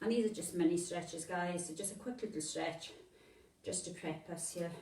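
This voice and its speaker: Mumbling and somewhat breathy, a woman with a fairly low pitch speaks at a fairly slow pace with ordinary pitch variation amid audible room echo. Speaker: fitness instructor. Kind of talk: workout instruction. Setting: home workout video.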